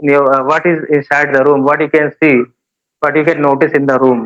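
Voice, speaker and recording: A man talks at a fairly quick pace. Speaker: English teacher. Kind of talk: casual interview giving advice. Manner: halting, many filler sounds.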